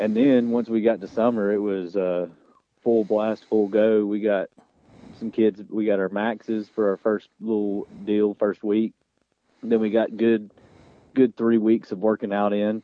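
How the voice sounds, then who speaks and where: With a Southern US accent, a man talks at a fairly slow pace in a fairly low pitch, his intonation flat and monotone, broken by long, frequent pauses. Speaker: high school football coach. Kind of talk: radio interview.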